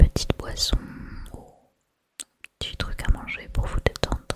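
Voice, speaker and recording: A woman whispers at a fairly slow pace. Her tone is calm. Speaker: ASMR creator. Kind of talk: ASMR tasting video. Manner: whispered; soft-spoken, calm.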